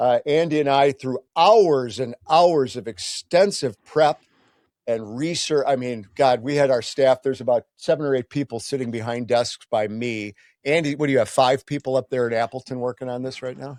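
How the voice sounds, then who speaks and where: Over a very clean recording with a silent background, a man in an ordinary speaking voice talks at a moderate pace and medium pitch, with ordinary pitch variation and dry, close sound with no echo. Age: 60s. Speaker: podcast host. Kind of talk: casual chat.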